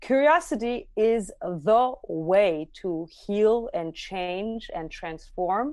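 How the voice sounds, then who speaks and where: Against a quiet background, a woman with an Armenian accent speaks at a very slow pace with hardly any pauses, her fairly high pitch swinging very widely and her loudness shifting in big swings. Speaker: near-death experiencer, musician. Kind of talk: interview testimony.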